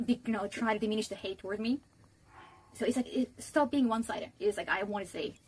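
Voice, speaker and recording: Very fast, somewhat breathy speech. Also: woman, fairly high pitch for a woman. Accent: non-native. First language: not English. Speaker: streamer. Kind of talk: casual chat. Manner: animated.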